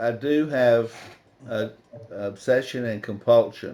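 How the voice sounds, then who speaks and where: A man at medium pitch with fairly even intonation, heard over noticeable background noise. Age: 70s. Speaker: recovering addict speaker. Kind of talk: testimony. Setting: video call.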